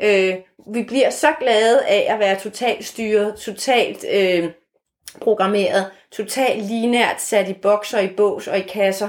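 This woman has an unremarkable speaking voice pitched fairly high. Her pitch varies in an ordinary way. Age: 50s. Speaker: author and former marketing executive. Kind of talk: interview conversation.

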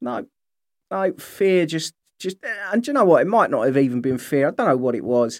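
A man with a British accent speaks at a fairly quick pace, his pitch fairly high and his intonation lively. The recording is very clean, with a silent background. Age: 40s. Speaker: podcast host living with MS. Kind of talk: casual solo monologue.

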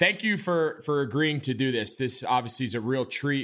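This man has a normal speaking voice and an American accent. He talks at a moderate pace and a medium pitch. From New York suburbs. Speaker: podcast host, former NFL tight end. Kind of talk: casual interview.

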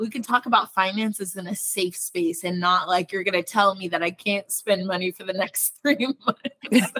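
Her medium-pitched voice has a bright, sharp tone as this woman talks at a moderate pace with ordinary pitch variation, hardly any pauses, and a dry, close sound free of echo. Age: 30s. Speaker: podcast host and lifestyle blogger. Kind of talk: interview. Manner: animated.

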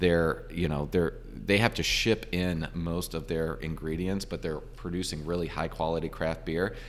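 With an American accent, a man talks at a moderate pace. He takes hardly any pauses. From Virginia, US. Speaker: brewery owner. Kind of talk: interview. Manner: halting.

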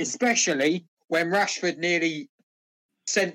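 In a British accent, the speaker talks at a moderate pace. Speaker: podcast co-host. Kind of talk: casual banter among friends. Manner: joking, sarcastic.

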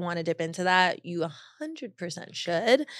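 Over a very clean recording with a silent background, a woman with an American accent and an unremarkable speaking voice talks at a moderate pace and a medium pitch. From Long Beach, California. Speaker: content creator. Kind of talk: casual interview chat.

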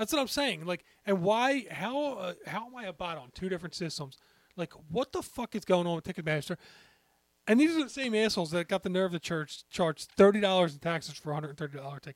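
A voice with an American accent moves at a fairly quick pace with lively intonation. The sound is dry and close with no echo. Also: man, high pitch for a man. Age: 40s. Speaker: sports podcast co-host. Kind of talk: casual chat.

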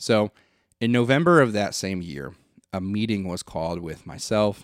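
A man with an American accent at a moderate pace, with a dry, close sound with no echo on a very clean recording with a silent background. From Flint, Michigan. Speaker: podcast host. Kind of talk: casual monologue.

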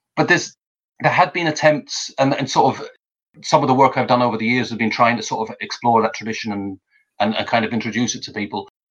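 Speaking very fast, a man uses a medium pitch with ordinary pitch variation. His loudness swings widely. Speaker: author and translator. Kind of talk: casual interview. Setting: online video call. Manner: hesitant, halting with repeated words.

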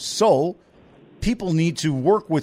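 A man's fairly high voice with lively intonation. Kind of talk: live radio business talk show, casual chatty banter. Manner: chatty, rambling, jokey, off-the-cuff; warm, energetic, conversational.

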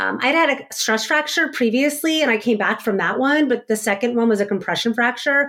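Her intonation lively, a woman speaks at a fairly quick pace. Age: 40s. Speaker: former elite athlete, neurodiversity consultant. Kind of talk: interview.

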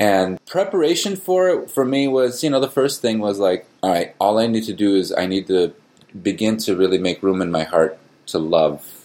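In an American accent, a man with a plain, everyday voice speaks at a moderate pace with lively intonation. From US, Palestinian American family. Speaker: musician and father. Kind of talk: interview.

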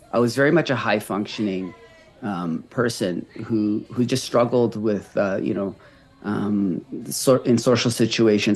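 A man speaks at a moderate pace with a Canadian accent, in a normal speaking voice. His fairly low pitch shows ordinary variation. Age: 30s. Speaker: recovery coach and marathon runner. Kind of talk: casual interview conversation.

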